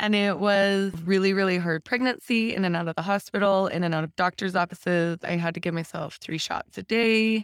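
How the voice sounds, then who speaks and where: In a very clean recording with a silent background and a dry, close sound with no echo, a woman with an American accent and an unremarkable speaking voice talks at a fairly quick pace with ordinary pitch variation. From Utah. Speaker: guest sharing divorce story. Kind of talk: podcast interview, personal story.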